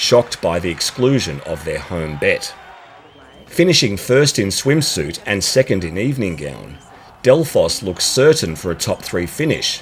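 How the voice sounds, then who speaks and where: Through noticeable background noise, a man with an Australian accent talks at a moderate pace and medium pitch, swinging very widely in pitch. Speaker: pageant commentator. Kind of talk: scripted narration.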